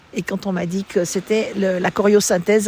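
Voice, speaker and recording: A woman with a medium pitch talks over noticeable background noise. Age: 70s. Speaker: mother giving testimony. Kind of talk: interview testimony. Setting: outdoors by the sea. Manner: halting.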